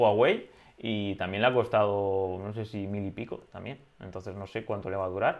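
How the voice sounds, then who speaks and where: A man with a fairly low pitch speaks at a moderate pace in monotone, flat intonation, with big swings in loudness. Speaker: drone podcast co-host. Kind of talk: casual chat.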